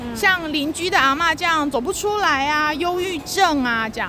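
Her voice raised and projected, a woman with an extremely high pitch makes very wide pitch swings amid noticeable background noise. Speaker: children's literature writer. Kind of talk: casual chat. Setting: outdoors at a metro station.

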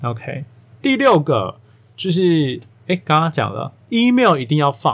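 A man with a Taiwanese accent speaks at a very slow pace in a fairly high pitch with very wide pitch swings. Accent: Taiwanese Mandarin. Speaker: podcast host, career coach. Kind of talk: solo podcast monologue. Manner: casual, filler-heavy.

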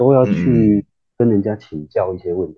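The voice has a very deep, low pitch. It is a man's, moving at a moderate speed. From Taiwan, Kaohsiung. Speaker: semiconductor engineer. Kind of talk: casual interview.

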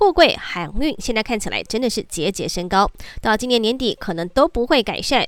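Her pitch is fairly high and swings very widely as this woman speaks at a moderate pace. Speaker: news anchor. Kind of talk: news reading. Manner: formal.

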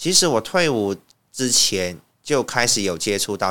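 Recorded very cleanly against a silent background, a man speaks with a bright, sharp tone at a fairly low pitch. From Myanmar, Yangon. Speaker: language teacher. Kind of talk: interview.

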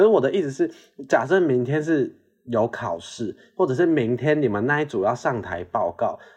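This man has a fairly high pitch, vocal fry and very wide pitch swings. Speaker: podcast co-host. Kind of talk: casual chat. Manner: moderate pace, fast when excited.

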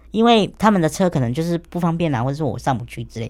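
The speech goes at a very fast pace on a very clean recording with a silent background. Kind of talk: radio interview.

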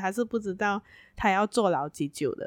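Ordinary pitch variation in a dry, close sound with no echo, on a very clean recording with a silent background. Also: woman. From Malaysia, Penang. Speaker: podcast co-host. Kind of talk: casual chat. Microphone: new microphone.

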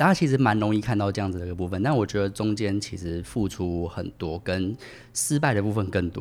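With a plain, everyday voice, a man speaks at a fairly low pitch and a fairly quick pace. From Taiwan, Tainan. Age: 30s. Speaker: podcast guest, former international sales worker. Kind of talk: casual interview.

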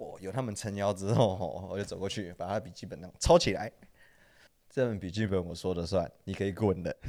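Speaking at a fairly quick pace, a man uses a fairly low, dark, mellow voice with ordinary pitch variation and big swings in loudness. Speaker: former sneaker shop worker and design student. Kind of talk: casual chat.

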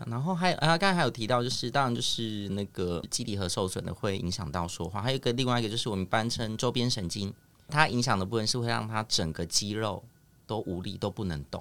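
On a very clean recording with a silent background, a man with a fairly low pitch speaks at a very fast pace. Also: lively intonation. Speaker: speech therapist. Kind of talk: casual chat. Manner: animated.

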